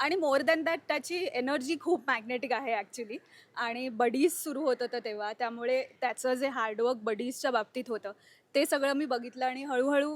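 High-pitched for a woman, her voice shows ordinary pitch variation. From Mumbai, Bandra. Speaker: nutritionist, actor's wife. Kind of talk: casual interview chat. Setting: at husband's family home. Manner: hesitant, with fillers.

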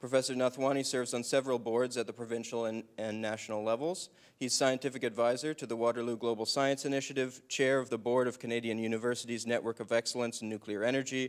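A man rattles off words at a very fast pace with hardly any pauses. His intonation is monotone and flat against a quiet background. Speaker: event host. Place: hall. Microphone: handheld.

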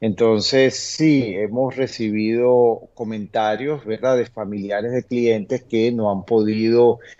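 This man's intonation stays fairly even while his pace is fairly slow. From Venezuela. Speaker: immigration lawyer. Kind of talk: interview Q&A, informative. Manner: hesitant, many fillers (eh, este). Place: home room. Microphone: webcam.

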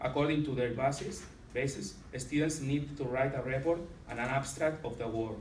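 A man with a Catalan accent speaks with fairly even intonation, with audible room echo and light background noise. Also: moderate pace. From Catalonia, Spain. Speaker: secondary school teacher. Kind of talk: conference presentation. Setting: conference with slides. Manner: halting, hesitant with many fillers. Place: meeting room. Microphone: camera far.

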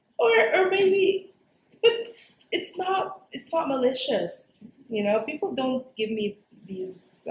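Amid light background noise and audible room echo, a high-pitched woman speaks at a very slow pace with very wide pitch swings and long, frequent pauses. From Dubai. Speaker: actor, storyteller, voice over artist. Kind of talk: interview answer. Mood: warm, reflective, smiling. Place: meeting room.

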